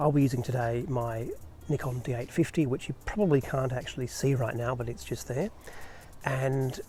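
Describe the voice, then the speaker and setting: A soft-spoken man with an Australian accent, medium pitch, a dark, mellow tone, somewhat breathy delivery, fairly even intonation and a fairly quick pace. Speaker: photographer. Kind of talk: tutorial. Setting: outdoors at night. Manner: soft-spoken, quiet.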